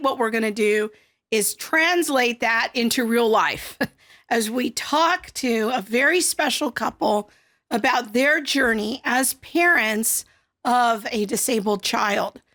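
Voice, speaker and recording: Putting on a raspy, hoarse character voice, a woman speaks at a high pitch and a fairly slow pace with ordinary pitch variation. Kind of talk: formal broadcast host.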